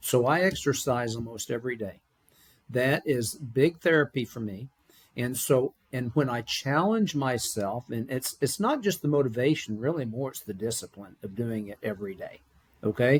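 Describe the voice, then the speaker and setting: A man's somewhat breathy voice at medium pitch, with ordinary pitch variation, big swings in loudness, a moderate pace, and a dry, close sound with no echo. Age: 60s. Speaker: business founder. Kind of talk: interview. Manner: energetic.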